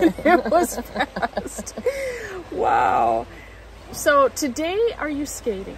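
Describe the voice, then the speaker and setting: With very wide pitch swings, a woman speaks at a high pitch and very slow pace, pausing long and often, against noticeable background noise. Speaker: interviewer. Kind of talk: interview questions.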